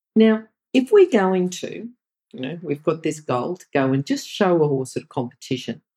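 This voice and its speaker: Here a woman talks with an Australian accent and a dark, mellow tone. Her pitch swings very widely. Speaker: podcast interviewer. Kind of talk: interview.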